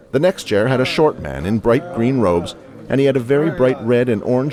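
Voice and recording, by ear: The natural read-aloud voice shows ordinary variation in pitch.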